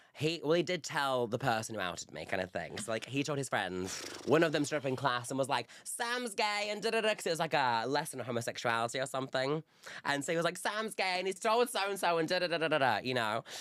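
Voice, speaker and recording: With a Yorkshire accent, a man talks very fast in an animated tone, his fairly high pitch making very wide swings. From northern England, Bradford. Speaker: reality TV contestant. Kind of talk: casual chat.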